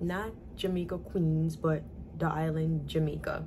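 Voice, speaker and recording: Someone with a New York accent talks at a moderate pace amid audible room echo. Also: woman. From US Northeast, New York (the Bronx). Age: 20s. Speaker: vlogger, young mother. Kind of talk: casual Q&A vlog. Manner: casual, conversational.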